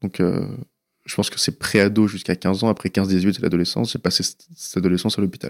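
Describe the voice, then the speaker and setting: The speaker talks at a fairly quick pace. The sound is dry and close with no echo, and the recording is very clean over a silent background. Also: man. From France, western Paris suburbs. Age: 20s. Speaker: anonymous young patient sharing his story. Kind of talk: personal testimony. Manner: hesitant, with many fillers.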